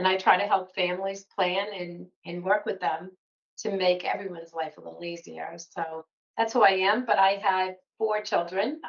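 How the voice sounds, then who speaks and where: A woman's medium-pitched voice with a slight Boston accent, fairly even intonation and a moderate pace. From Massachusetts, north of Boston. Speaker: financial planning educator. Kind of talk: podcast interview. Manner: conversational.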